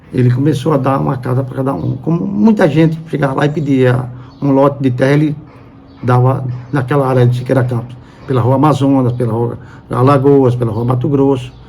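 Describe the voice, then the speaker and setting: A man at medium pitch and a fairly quick pace, with fairly even intonation, audible room echo and noticeable background noise. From Brazil, Sergipe (Aracaju). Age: 70s. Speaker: journalist. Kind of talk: interview testimony. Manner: halting.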